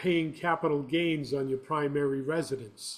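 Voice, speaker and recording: With a normal speaking voice, a man uses a fairly high pitch, ordinary pitch variation and a fairly slow pace. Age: 60s. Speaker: property manager. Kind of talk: interview.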